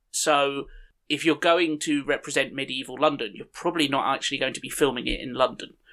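Talking at a fairly quick pace, a man uses a fairly high pitch with ordinary pitch variation and a bright, sharp tone. His loudness swings widely over a very clean recording with a silent background. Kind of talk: casual chat.

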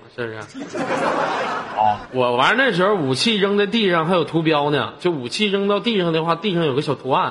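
Through noticeable background noise, a man with a high pitch speaks at a moderate pace. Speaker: live-stream host. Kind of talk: casual chat. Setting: online voice chat room. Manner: animated.

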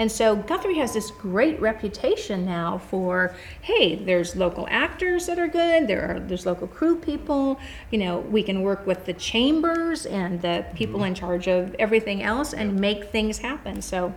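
With an American accent, a woman speaks at a moderate pace and medium pitch, her pitch swinging very widely and hardly pausing, over noticeable background noise. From California. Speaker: glass artist and gallery owner. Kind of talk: interview. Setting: in her gallery studio.

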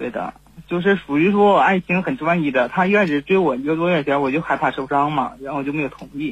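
Very fast speech comes from a man. His fairly high voice varies in pitch in an ordinary way. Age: 20s. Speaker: caller, game streamer. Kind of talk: phone-in confession. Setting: phone call. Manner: halting, many fillers.

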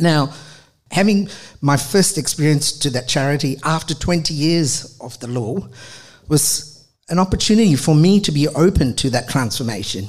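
Lively intonation from a man with a fairly high, somewhat breathy voice at a moderate pace. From Australia, Adelaide. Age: 50s. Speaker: charity manager and former lawyer. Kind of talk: storytelling talk. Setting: stage with audience.

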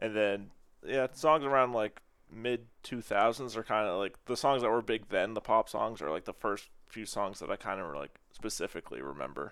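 Vocal fry runs through this man's medium-pitched voice as he speaks at a moderate pace with lively intonation. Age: 20s. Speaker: music fan. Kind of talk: casual chat.

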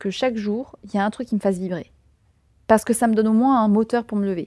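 Her voice is fairly high in pitch, with a dark, mellow tone. The recording of this woman is very clean, with a silent background. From southern France, Tarn. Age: 20s. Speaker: podcaster. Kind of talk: interview conversation.

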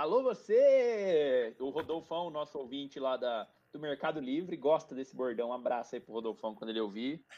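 Against a quiet background, a man with a dark, mellow tone and medium pitch speaks at a moderate pace with lively intonation and hardly any pauses. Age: 30s. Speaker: podcast co-host. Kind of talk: casual chat.

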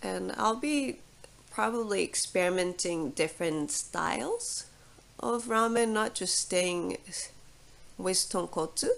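A woman speaks very slowly in a Japanese accent. Her pitch is medium, and her intonation is lively. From Japan (Fukuoka, Kyushu). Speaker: ramen chef. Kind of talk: casual interview.

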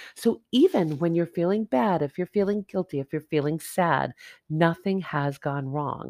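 Recorded very cleanly against a silent background, with a dry, close sound and no echo, a woman speaks in an ordinary speaking voice at a moderate pace, fairly low in pitch with ordinary variation. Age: 50s. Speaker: podcast host and life coach. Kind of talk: motivational monologue. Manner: casual.

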